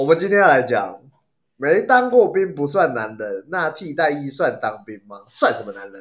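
A man speaks at a moderate pace with a fairly high pitch for a man. His loudness swings widely, and his pitch leaps over a very wide range. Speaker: podcast host. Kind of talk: casual chat.

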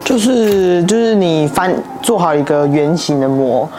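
Speaking with a Taiwanese accent, a woman is heard amid noticeable background noise and audible room echo. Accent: Taiwanese Mandarin. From Taiwan, Taichung. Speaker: ceramic artist. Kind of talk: casual interview.

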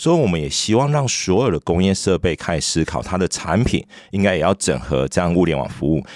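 Vocal fry runs through this man's very deep, low voice. He talks fairly quickly, and the sound is dry and close with no echo. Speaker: startup founder and CEO. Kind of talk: interview.

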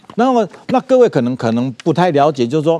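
With a Taiwanese accent, a man talks at a fairly quick pace, his pitch swinging very widely. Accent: Taiwanese Mandarin. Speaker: businessman. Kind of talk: interview. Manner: halting, many fillers and repetitions.

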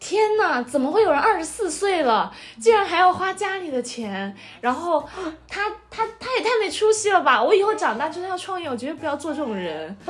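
Noticeable background noise under a woman's extremely high voice, with very wide pitch swings at a fairly quick pace. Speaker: podcast host. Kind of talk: casual chat.

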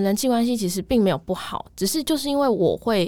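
On a very clean recording with a silent background, a woman talks at a moderate pace in a fairly high pitch with very wide pitch swings. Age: 20s. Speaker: office worker in sales, podcast listener. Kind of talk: casual interview chat.

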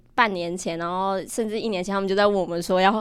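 The woman's medium-pitched voice races along at a very fast pace. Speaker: university student, exhibition lead organizer. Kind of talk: casual chat.

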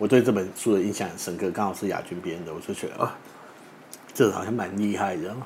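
A man's fairly low voice at a very fast pace, fairly even in intonation, with audible room echo and noticeable background noise. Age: 30s. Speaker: funeral body collector and author. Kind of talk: interview chat.

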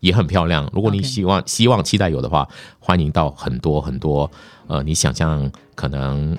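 A man with a very deep, low pitch speaks at a moderate pace with ordinary pitch variation. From Malaysia. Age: 50s. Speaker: news anchor. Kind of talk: casual interview. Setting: studio.

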